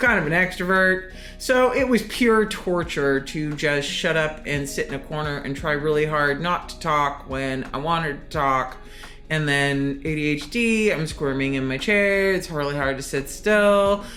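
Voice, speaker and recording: With music in the background and audible room echo, a woman with a very deep, low pitch talks at a moderate pace using lively intonation. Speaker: anonymous podcast guest sharing personal story. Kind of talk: personal testimony. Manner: loud.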